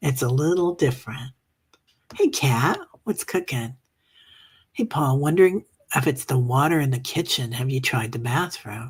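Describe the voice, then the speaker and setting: Somewhat breathy, a woman with a very deep, low pitch speaks at a moderate pace with long, frequent pauses. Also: ordinary pitch variation. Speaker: meditation group host. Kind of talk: casual chat. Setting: livestream reading comments. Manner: casual, chatty with fillers.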